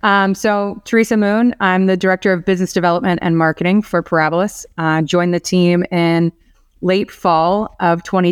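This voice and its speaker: A woman at a medium pitch with an American accent, at a moderate pace and very even loudness, on a very clean recording with a silent background and a dry, close sound with no echo. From Florida, Orlando. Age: 40s. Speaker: business development executive at a lender. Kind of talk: podcast interview.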